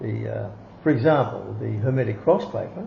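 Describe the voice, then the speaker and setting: There is audible echo in the room. A man talks at a moderate speed. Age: 70s. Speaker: occult teacher. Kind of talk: interview. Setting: at home.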